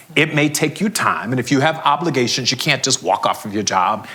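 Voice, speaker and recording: Noticeable background noise sits behind a man talking fairly quickly with an American accent. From US South, Florida (Fort Lauderdale). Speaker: HR executive and CEO, conference speaker. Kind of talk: conference Q&A talk. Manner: animated.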